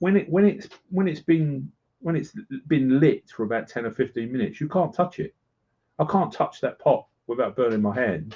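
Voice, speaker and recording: With very wide pitch swings, a man speaks at a fairly high pitch. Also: moderate pace. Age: 60s. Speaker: prepper. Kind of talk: casual chat. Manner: halting.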